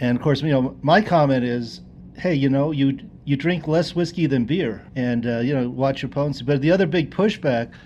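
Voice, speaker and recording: The pace is moderate, with ordinary pitch variation. It is a plain, everyday voice. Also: man, fairly high pitch for a man. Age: 60s. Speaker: podcast co-host. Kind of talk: podcast conversation.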